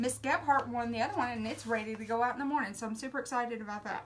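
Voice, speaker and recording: In an American accent, a woman talks at a high pitch with ordinary pitch variation. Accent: Southern US drawl, self-described redneck. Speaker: craft painting instructor. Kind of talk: live painting tutorial. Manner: casual, chatty.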